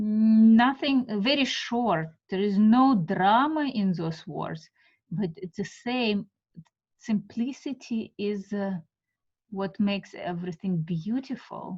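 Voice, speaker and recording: A woman talks very slowly with a Russian accent and lively intonation. Her voice is somewhat breathy. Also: medium pitch for a woman. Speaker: art teacher. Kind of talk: guided meditation class. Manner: halting.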